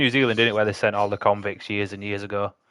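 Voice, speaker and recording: Against a quiet background, a man with a Yorkshire accent speaks in a bright, sharp tone. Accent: Yorkshire, throws people off. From Yorkshire, northern England. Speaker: livestreamer building model kits. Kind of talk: casual chat with live chat while building. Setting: live stream. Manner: casual, chatty.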